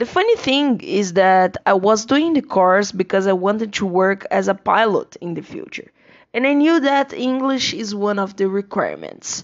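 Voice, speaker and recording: Lively intonation marks a woman speaking with a Portuguese accent. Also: fairly high pitch for a woman, moderate pace. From Brazil. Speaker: English teacher. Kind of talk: personal monologue.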